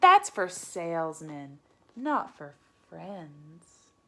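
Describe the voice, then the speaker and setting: Very slowly, a woman in a put-on character voice speaks at a fairly low pitch. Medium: read story. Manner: dramatic, overwrought.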